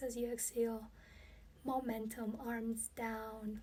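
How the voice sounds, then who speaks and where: A woman's high-pitched voice with a calm tone. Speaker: yoga teacher. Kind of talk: guided yoga class. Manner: calm, instructive.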